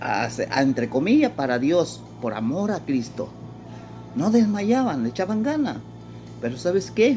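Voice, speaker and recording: A man talks fairly slowly. Behind him, music is playing. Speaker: pastor. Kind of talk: sermon.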